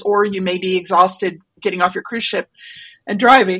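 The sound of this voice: In a raspy, put-on character voice, a woman talks at a moderate pace and medium pitch with fairly even intonation.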